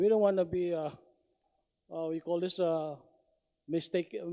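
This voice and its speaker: A man with a non-native accent talks at a moderate pace with a high pitch, a dark, mellow tone and monotone, flat intonation, in a dry, close sound with no echo. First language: not English. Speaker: public hearing testifier. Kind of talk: public testimony. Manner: halting.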